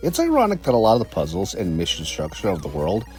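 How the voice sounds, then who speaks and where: A man's voice over music in the background. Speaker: game reviewer. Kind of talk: video game review narration.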